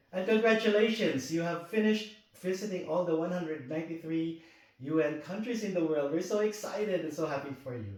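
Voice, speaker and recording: Fairly quick, lively speech from a man with a high pitch, against noticeable background noise. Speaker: interviewer. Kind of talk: interview question.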